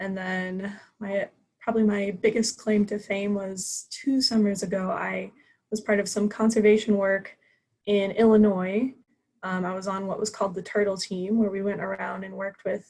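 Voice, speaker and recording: Somewhat breathy and flat in intonation, a woman with an American accent talks at a moderate pace and medium pitch. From US Midwest, Columbia, Missouri. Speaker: student club officer. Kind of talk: club meeting self-introduction.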